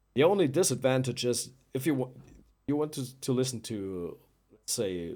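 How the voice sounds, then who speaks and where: Speaking at a moderate pace with a German accent, a man shows very wide pitch swings and vocal fry on a very clean recording with a silent background. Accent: German accent, non-native English. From Germany. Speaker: musician presenting own album. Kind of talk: live stream chat. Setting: live stream. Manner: halting, many fillers and repeats.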